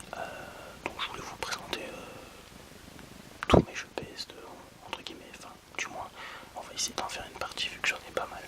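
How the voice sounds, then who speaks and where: A man whispering at a moderate pace, with big swings in loudness, long, frequent pauses and noticeable background noise. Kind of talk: ASMR video game presentation. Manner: whispered.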